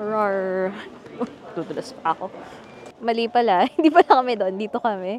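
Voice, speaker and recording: A woman's fairly high voice at a moderate pace, lively in intonation, with big swings in loudness, long, frequent pauses and noticeable background noise. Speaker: travel vlogger. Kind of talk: casual vlog narration. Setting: outdoors in the cold, then restaurant. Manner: soft-spoken.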